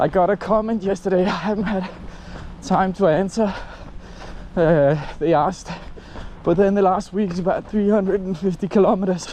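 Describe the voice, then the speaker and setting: A man with a high voice talks at a moderate pace in fairly even intonation, leaving long, frequent pauses over noticeable background noise. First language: Danish. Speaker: running vlogger. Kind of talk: casual vlog. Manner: halting.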